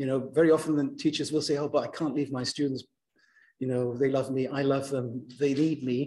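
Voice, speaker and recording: The speaker talks at a moderate pace and sounds somewhat breathy. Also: man. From Germany. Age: 60s. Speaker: university lecturer. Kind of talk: lecture.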